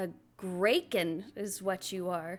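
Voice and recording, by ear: A guttural, put-on character voice. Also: woman, medium pitch for a woman.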